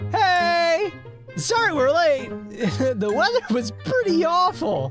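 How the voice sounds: Over faint background music, a man does a cartoonish character voice at an extremely high pitch, with big pitch swings, a fairly bright tone and a slow pace.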